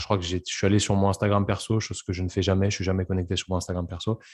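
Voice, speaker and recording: A man's fairly low, monotone, flat voice at a very fast pace against a quiet background. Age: 20s. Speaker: podcast host, physiotherapist. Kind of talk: casual interview chat; scripted podcast intro.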